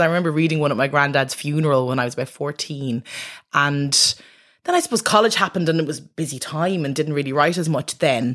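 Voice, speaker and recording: Speaking very fast with a Dublin accent, a woman with a very deep, low pitch shows ordinary pitch variation on a very clean recording with a silent background. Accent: Irish (Dublin). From Ireland, Dublin. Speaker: doctor and poet. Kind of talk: interview. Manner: halting.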